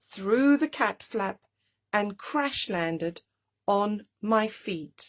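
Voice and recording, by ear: The speaker is reading aloud in a natural voice with lively intonation. The background is quiet.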